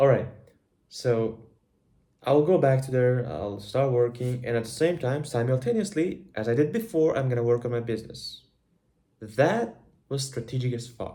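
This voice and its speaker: A man's somewhat breathy voice with a dark, mellow tone, ordinary pitch variation and long, frequent pauses. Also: medium pitch for a man, moderate pace. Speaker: vlogger. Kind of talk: personal video diary. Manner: animated.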